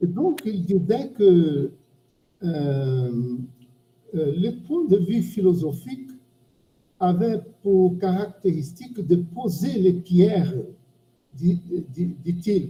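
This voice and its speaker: With a Portuguese accent, the speaker goes at a very slow pace, leaving long, frequent pauses. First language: Portuguese (speaking French). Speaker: semiotics professor. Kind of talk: academic discussion. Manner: halting. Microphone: bad microphone.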